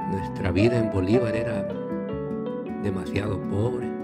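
Loud music plays behind a man who speaks at a very slow pace. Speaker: grandfather telling life story. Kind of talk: personal life story told to camera. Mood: calm, reminiscing. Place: studio. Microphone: studio mic.

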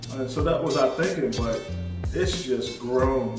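A man talks at a moderate pace with clear music in the background. The room echo is audible. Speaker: construction channel host. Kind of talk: casual vlog chat. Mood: happy and grateful. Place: home room.

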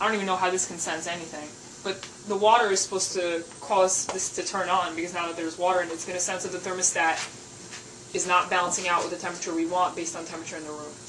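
A woman's fairly low, monotone and flat voice at a very fast pace, with noticeable background noise. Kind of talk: casual explanation on tour. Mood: alarmed, joking. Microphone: camera far.

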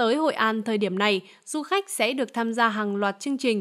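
On a very clean recording with a silent background, a woman speaks in a plain, everyday voice, fairly high in pitch with ordinary pitch variation. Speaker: news presenter. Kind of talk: news reading. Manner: formal.

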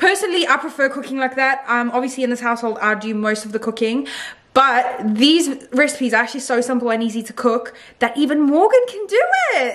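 A woman's high voice at a fairly quick pace, with ordinary pitch variation. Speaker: vlogger. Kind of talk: casual vlog chat, sponsored segment. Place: home room. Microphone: phone near.

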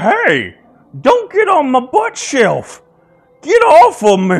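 A man puts on a character voice at an extremely high pitch and a very slow pace. Faint music plays in the background. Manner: indignant, complaining.

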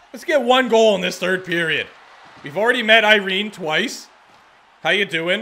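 Against light background noise, a man speaks in a raised, projected, high voice with an animated tone and lively intonation at a moderate pace. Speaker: gaming video creator. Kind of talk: video game commentary. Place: home room. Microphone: studio mic.

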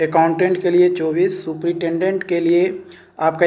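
With audible room echo, a man speaks at a moderate pace in a fairly high pitch, with little pitch movement and a slightly mellow tone.

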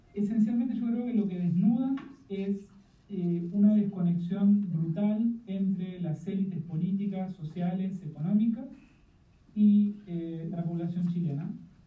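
Noticeable background noise sits behind a man speaking at a fairly slow pace. His voice is high, with fairly even intonation. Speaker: political science professor. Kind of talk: panel discussion. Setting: video call.

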